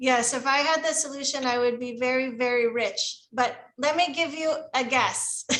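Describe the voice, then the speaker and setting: Using an American accent, a woman speaks at a high pitch and a moderate pace, her intonation fairly even. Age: 50s. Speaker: teacher trainer, former volunteer teacher. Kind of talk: Q&A with teachers.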